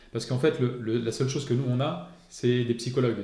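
A man speaks at a medium pitch and a very fast pace in a monotone, flat intonation. Audible room echo surrounds the recording. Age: 40s. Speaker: police officer. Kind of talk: interview.

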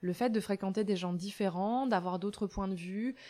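This woman's voice sits at a medium pitch and shows ordinary pitch variation. Her recording is very clean, and the background is silent. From France, rural. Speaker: farmer and author. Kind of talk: interview. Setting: in her village café shop.

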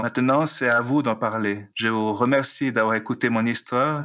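A man's medium-pitched voice, bright and sharp in tone, with fairly even intonation. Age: 50s. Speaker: librarian. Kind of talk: personal testimony. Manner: halting, repeats words.

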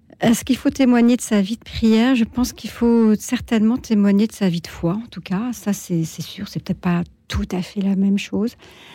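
A woman's somewhat breathy, fairly high voice at a moderate pace, with ordinary pitch variation, big swings in loudness, hardly any pauses, and a very clean recording over a silent background. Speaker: retired editor-in-chief, charity president. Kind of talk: radio talk show discussion. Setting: radio studio.

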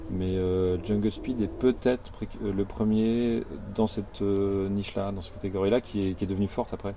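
His is an ordinary speaking voice, as this man talks with a fairly low pitch, fairly even intonation and a moderate pace. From rural France. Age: 50s. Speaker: board game designer and graphic artist. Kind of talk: casual interview. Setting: outdoors in a garden.

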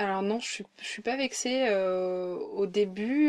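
This woman has a plain, everyday voice, with a medium pitch and ordinary pitch variation. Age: 30s. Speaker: journalist. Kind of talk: casual chat. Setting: at host's home, sitting on a bed.

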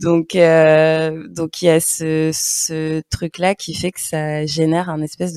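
A woman speaks in a very deep, low pitch with monotone, flat intonation. The sound is dry and close with no echo. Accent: Parisian. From Paris region, France. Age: 30s. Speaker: podcaster and blogger. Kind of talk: interview conversation. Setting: remote video call.

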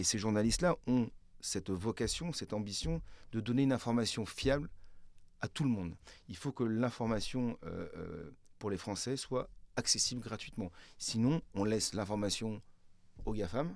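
A man speaks at a moderate pace and medium pitch, with ordinary pitch variation and long, frequent pauses. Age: 50s. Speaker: media executive. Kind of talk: interview.

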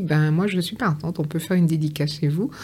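She has a fairly low voice with a dark, mellow tone. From Guadeloupe, Pointe-à-Pitre. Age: 50s. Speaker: author. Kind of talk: interview.

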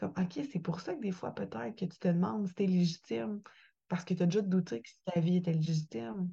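The voice has a dark, mellow tone and is somewhat breathy, in a Quebec accent. It moves at a fairly slow pace. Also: woman. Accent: Québécois French. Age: 20s. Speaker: podcaster and author. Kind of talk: interview testimony.

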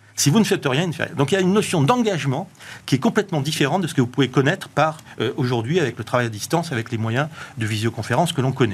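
Somewhat breathy, a man rattles along at a very fast pace in a fairly high pitch with lively intonation. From southwestern France. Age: 50s. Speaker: author and tech entrepreneur. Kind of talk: TV panel interview. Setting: studio.

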